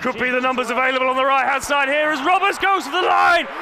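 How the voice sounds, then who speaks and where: Music-free but with noticeable background noise, a man speaks in a raised, projected voice. His pitch is extremely high and his tone excited. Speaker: rugby league match commentator. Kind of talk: sports commentary. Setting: stadium match commentary, over live play. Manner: excited, rising energy at tries.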